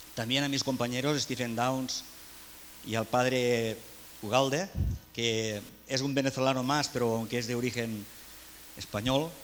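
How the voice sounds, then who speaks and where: A man's medium-pitched voice in a Catalan accent, fairly slow with long, frequent pauses, fairly even in intonation, with audible room echo. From Catalonia, Spain. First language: Catalan (speaking Spanish). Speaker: education speaker. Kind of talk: conference talk.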